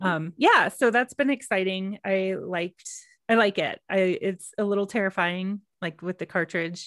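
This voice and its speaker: A woman with an American accent talks at a moderate pace in medium pitch, using ordinary pitch variation, and has an ordinary speaking voice. The recording is very clean, with a silent background and a dry, close sound with no echo. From Texas. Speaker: yoga podcast co-host. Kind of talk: casual chat.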